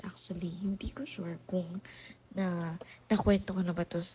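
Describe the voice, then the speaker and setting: Her voice is somewhat breathy, a woman's medium pitch carried in a dark, mellow tone. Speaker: podcast host. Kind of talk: casual monologue. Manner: halting. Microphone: low quality recording.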